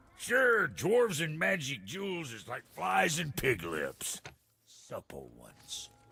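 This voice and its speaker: A gruff, put-on character voice talks at a fairly slow pace. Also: man, fairly high pitch for a man. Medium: video game. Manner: gruff, crude, folksy slang.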